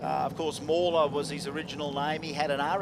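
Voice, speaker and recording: Amid audible room echo and noticeable background noise, a man with an Australian accent speaks at a moderate pace with ordinary pitch variation. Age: 50s. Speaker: drag racing commentator. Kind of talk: live commentary. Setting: broadcast area at racetrack. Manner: animated.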